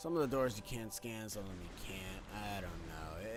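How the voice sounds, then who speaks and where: Music plays in the background. A man speaks over it with lively intonation. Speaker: video game let's play host. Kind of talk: gameplay commentary. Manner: loud; casual, filler-heavy.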